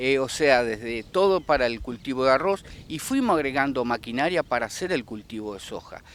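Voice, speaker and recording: Fairly quick talking from a man at a medium pitch, his pitch varying in an ordinary way. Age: 60s. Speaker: rice farmer. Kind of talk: interview. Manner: halting.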